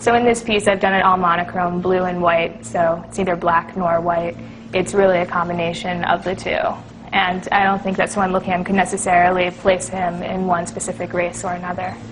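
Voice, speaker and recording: A woman speaks in a flat, monotone way at a medium pitch and a fairly quick pace. Music plays behind her. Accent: American. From US, Washington, D.C. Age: 20s. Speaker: artist. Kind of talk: explanatory talk to camera. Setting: art gallery.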